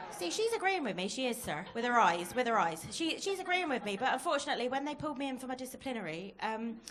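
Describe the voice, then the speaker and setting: A woman with a Plymouth accent at a very fast pace and high pitch, her very wide pitch swings set against audible room echo and noticeable background noise. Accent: Plymouth (janner) dialect, noticeable. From Plymouth, Devon, England. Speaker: stand-up comedian. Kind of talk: stand-up. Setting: comedy club stage with audience.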